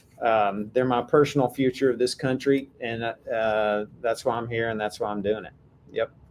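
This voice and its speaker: A man with a Texan accent and fairly even intonation. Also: medium pitch for a man, moderate pace. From Texas. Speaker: AI policy advocate, former software executive. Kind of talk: podcast interview.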